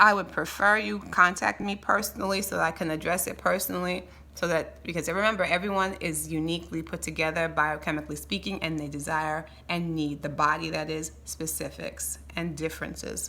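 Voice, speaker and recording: Speaking at a fairly quick pace with hardly any pauses, a woman uses an animated tone. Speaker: health educator. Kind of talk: health tutorial. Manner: fast.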